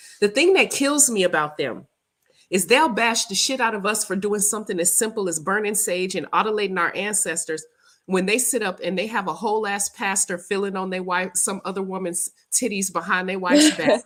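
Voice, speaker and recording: Animated in tone, a woman with an American accent and medium pitch speaks at a fairly quick pace with ordinary pitch variation. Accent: Southern US, comes and goes. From US South. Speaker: spiritual practitioner and livestream host. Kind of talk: casual livestream chat.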